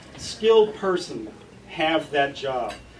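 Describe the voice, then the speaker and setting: With an American accent and lively intonation, a man speaks in a high voice over noticeable background noise. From US, West Texas. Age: 50s. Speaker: political candidate. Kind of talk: campaign speech. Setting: forum with live audience.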